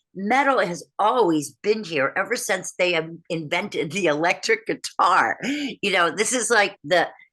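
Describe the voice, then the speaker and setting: With an animated tone and lively intonation, a woman speaks at medium pitch and a fairly slow pace, with hardly any pauses. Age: 60s. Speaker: heavy metal vocal coach. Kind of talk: interview. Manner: animated, halting with restarts.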